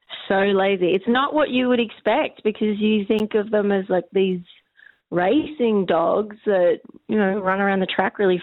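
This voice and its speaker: A woman talks in an ordinary speaking voice with lively intonation at a moderate pace. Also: very even loudness. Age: 40s. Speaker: comedian. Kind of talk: interview.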